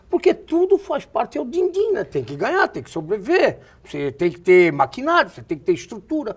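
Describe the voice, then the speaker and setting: His pitch rises and falls very widely. The man talks at a fairly quick pace. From Alto Vale, Santa Catarina, Brazil. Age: 60s. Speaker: TV talk show host. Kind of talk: TV interview.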